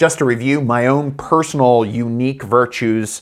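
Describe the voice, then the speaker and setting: A man's voice on a very clean recording with a silent background. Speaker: podcast host and coach in training. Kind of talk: solo podcast monologue. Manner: loud when excited.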